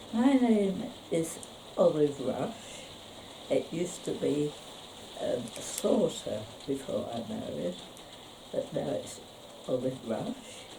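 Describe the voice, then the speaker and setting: A woman with a London accent talks very slowly with long, frequent pauses, amid noticeable background noise and audible room echo. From London area, England. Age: 80s+. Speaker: local elder sharing memories. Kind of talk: reminiscence interview. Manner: halting, with many pauses.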